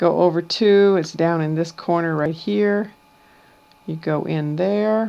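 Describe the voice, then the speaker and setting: Speaking at a very slow pace, a woman has a fairly low pitch, ordinary pitch variation and a dark, mellow tone. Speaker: amateur weather video maker. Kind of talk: screen-share tutorial. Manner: casual.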